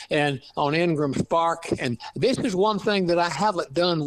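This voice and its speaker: Talking at a moderate pace in a strong East Texas accent, a man uses a fairly high pitch with ordinary pitch variation. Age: 80s+. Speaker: author, retired lab scientist. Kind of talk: interview. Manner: halting.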